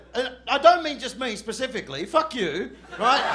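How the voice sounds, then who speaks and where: With an Australian accent, a man projects a raised voice at a fairly slow pace in a room with audible echo. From Western Australia, Perth. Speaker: stand-up comedian. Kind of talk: stand-up. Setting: stage with audience. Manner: animated.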